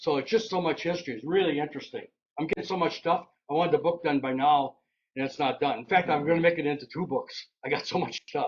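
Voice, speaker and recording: Talking at a very fast pace, a man with an Upper Midwest accent shows ordinary pitch variation. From Wisconsin. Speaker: local railroad historian and author. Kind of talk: slide presentation talk. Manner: casual.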